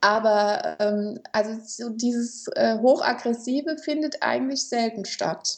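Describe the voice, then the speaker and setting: A woman with a fairly high pitch and ordinary pitch variation speaks at a very slow pace, with hardly any pauses. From Germany, Kaiserslautern (Palatinate). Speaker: mediator and conflict coach. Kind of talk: interview.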